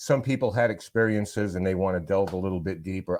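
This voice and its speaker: A man with an American accent at a very fast pace, very deep and low in pitch, with ordinary pitch variation and a quiet background. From US Northeast, Rhode Island. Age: 60s. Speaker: paranormal investigator. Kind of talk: casual chat. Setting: home basement studio.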